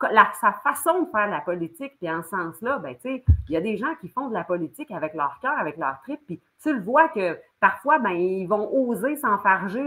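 A woman speaks with a Quebec accent at a moderate pace. Her pitch is medium, with very wide pitch swings. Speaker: former political candidate, economic development worker. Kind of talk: political discussion.

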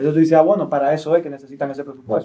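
Here a man speaks with a dark, mellow tone. His pitch sits fairly high. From Dominican Republic, Santo Domingo. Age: 30s. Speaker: political candidate and activist. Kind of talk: interview.

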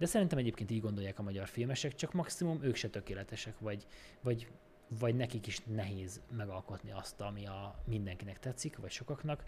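Somewhat breathy, the voice races at a very fast pace with ordinary pitch variation. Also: man, fairly low pitch for a man. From Békés County, Hungary. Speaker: film editor. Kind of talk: casual chat.

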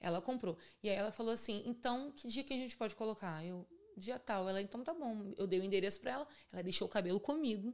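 Her pitch fairly high and her intonation lively, a woman speaks at a very fast pace. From Rio de Janeiro suburbs (Bangu). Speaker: hair extension entrepreneur. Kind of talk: casual chat.

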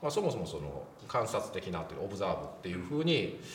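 Noticeable background noise and audible room echo surround the voice. A man speaks at a fairly quick pace. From Japan, Wakayama. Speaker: film critic, show host. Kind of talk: casual film discussion.

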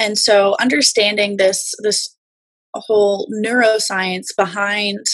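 Somewhat breathy and very slow, a woman with an American accent speaks at a medium pitch. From Los Angeles, California. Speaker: musician and mental health advocate. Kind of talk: casual interview chat.

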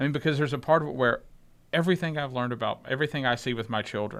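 With ordinary pitch variation, a man speaks on a very clean recording with a silent background. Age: 40s. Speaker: podcast co-host. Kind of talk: casual chat.

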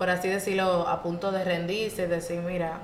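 Moderate-paced speech amid noticeable background noise and audible room echo. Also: woman. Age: 20s. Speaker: podcast co-host, university student. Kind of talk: casual chat.

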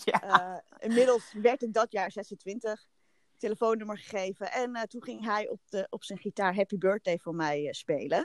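In a plain, everyday voice, a woman talks at a fairly slow pace with fairly high pitch and ordinary pitch variation. Her loudness swings a lot, and the sound is dry and close with no echo. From Netherlands, Haarlem. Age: 30s. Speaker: podcast guest. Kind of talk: casual chat.

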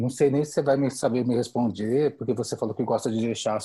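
A somewhat breathy voice with a dark, mellow tone speaks at a fairly quick pace with fairly even intonation over a quiet background. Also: man. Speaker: podcast co-host. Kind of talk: casual interview.

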